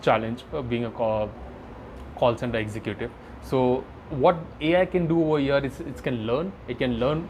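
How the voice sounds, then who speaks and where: Speaking at a moderate pace with long, frequent pauses, a man with an Indian accent has a medium-pitched voice. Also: ordinary pitch variation. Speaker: AI product manager. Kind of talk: podcast interview. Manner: halting.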